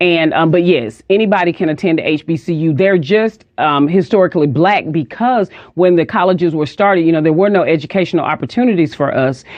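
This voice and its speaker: A woman with a Southern US accent talks at a fairly quick pace with hardly any pauses. Her pitch is fairly low, with ordinary variation and very even loudness. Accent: Southern US (Georgia). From US South, Athens, Georgia. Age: 50s. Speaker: minister. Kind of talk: interview.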